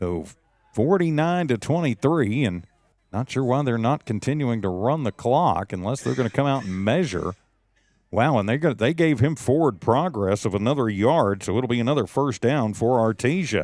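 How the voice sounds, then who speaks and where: A man with an American accent and lively intonation, on a very clean recording with a silent background. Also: medium pitch for a man. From West Texas. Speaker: high school football radio play-by-play announcer. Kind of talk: live commentary; casual chat.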